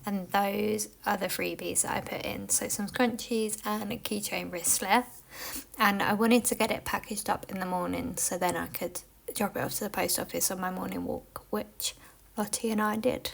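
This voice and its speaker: The speaker has a British accent. Noticeable background noise runs under the voice. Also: woman, moderate pace. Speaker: small business owner and vlogger. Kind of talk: casual vlog talk; voiceover narration.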